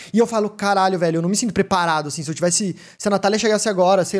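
A man talks at a very fast pace. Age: 20s. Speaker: podcast host and streamer. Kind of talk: casual live-streamed podcast chat. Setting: home studio. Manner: animated.

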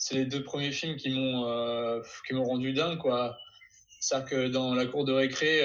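A man with a medium pitch, a fairly slow pace and monotone, flat intonation, with audible room echo. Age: 20s. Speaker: YouTuber who learns new skills. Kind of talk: casual interview.

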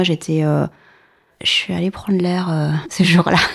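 This woman has a plain, everyday voice with a fairly low pitch. She speaks at a moderate pace. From Paris region, southern suburbs. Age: 40s. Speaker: former citizen assembly member. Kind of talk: interview testimony.

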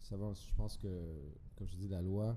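Audible room echo surrounds a man with a very deep, low pitch and a dark, mellow tone. His intonation is fairly even, and his voice is somewhat breathy. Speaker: podcast guest. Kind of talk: casual chat.

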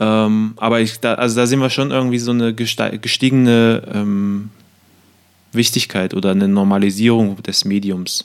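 With an unremarkable speaking voice, a man of medium pitch speaks at a moderate pace, his loudness very even and his intonation fairly even. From eastern Germany (Cottbus). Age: 20s. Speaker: podcast co-host. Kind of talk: casual chat.

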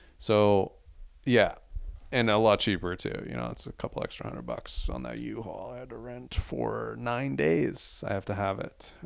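Moderate pacing with big swings in loudness. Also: man. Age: 20s. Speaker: podcast host and author. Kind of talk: solo monologue podcast. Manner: casual, off the cuff.

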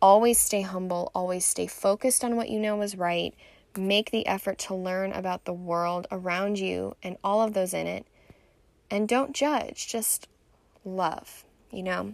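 The recording is very clean, with a silent background. A woman with an American accent speaks fairly slowly at medium pitch, with ordinary pitch variation. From Southern California (Orange County, Irvine). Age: 20s. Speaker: podcast host. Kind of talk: personal monologue. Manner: casual, frequent fillers.

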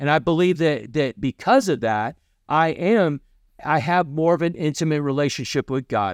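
Someone with a Kentucky accent speaks at a moderate pace in a dry, close sound with no echo. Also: man. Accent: Kentucky Southern US. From US South, Kentucky. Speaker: podcast host and missionary preacher. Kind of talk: sermon-style podcast talk. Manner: halting, many fillers and repetitions.

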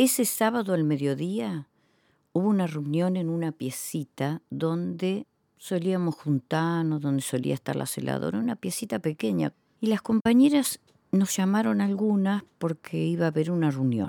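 Recorded very cleanly with a silent background and a dry, close sound with no echo, a woman speaks at a moderate pace in a dark, mellow, fairly low voice with very wide pitch swings. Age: 60s. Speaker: former political prisoner. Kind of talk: interview testimony.

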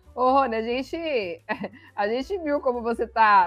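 Pitch leaps very widely up and down while the delivery holds a moderate pace. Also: woman. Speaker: sports livestream host. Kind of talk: casual sports chat livestream. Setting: online livestream.

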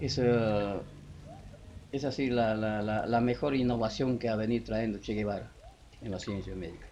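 A man's fairly low, dark, mellow voice, with fairly even intonation and long, frequent pauses. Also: moderate pace. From Peruvian Amazon, Loreto. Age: 70s. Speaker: former leprosy patient. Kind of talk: oral history interview. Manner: halting.

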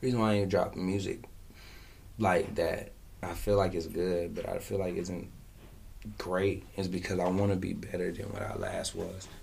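Speaking with long, frequent pauses, a man is heard in a room with audible echo. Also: moderate pace. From US South, Fayetteville, North Carolina. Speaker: rapper. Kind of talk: casual interview.

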